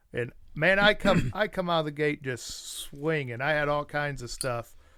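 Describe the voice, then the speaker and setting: On a very clean recording with a silent background, a man speaks fairly slowly in a fairly high pitch with a bright, sharp tone. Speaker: podcast co-host. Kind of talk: casual chat. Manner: slurred speech.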